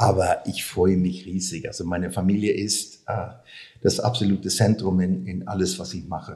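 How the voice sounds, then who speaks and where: A man speaks with a Swedish accent, his very deep, low pitch paired with a dark, mellow tone. His intonation stays fairly even at a moderate pace. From Sweden. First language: Swedish (speaking German). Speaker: sports marketing expert. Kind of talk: interview. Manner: halting.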